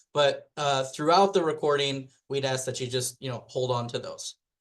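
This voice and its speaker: This man has a normal speaking voice at a fairly high pitch. His pitch variation is ordinary. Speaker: webinar presenter. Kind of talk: educational webinar lecture. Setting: recorded webinar.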